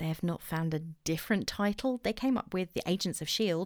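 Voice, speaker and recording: A woman with an English accent speaks at a fairly low pitch on a very clean recording with a silent background. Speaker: podcast host. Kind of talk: solo podcast monologue, casual. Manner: chatty, self-deprecating.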